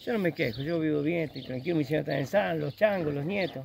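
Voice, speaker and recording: A man with an unremarkable speaking voice at a fairly quick pace. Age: 60s. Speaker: farmer. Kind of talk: casual chat.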